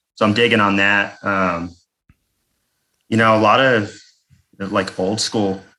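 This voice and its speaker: A man with an American accent, fairly low in pitch, bright and sharp in tone, fairly slow and fairly even in intonation, with long, frequent pauses. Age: 40s. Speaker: death metal bassist and vocalist. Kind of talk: casual chat.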